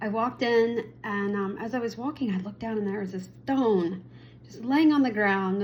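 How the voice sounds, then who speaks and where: In a room with audible echo, a woman speaks at a moderate pace and medium pitch, somewhat breathy, with lively intonation. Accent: American. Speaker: spiritual vlogger and Reiki practitioner. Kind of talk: casual personal storytelling vlog.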